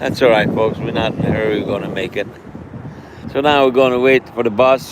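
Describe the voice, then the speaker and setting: Amid noticeable background noise, a man talks at a fairly quick pace with medium pitch and fairly even intonation. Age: 60s. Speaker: community advocate. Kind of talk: casual live stream talk outdoors. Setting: outdoors.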